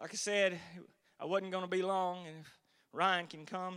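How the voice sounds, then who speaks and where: A man's high-pitched voice with a Southern US accent, bright and sharp in tone, on a very clean recording over a silent background. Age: 40s. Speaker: lay preacher. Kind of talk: sermon. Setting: church.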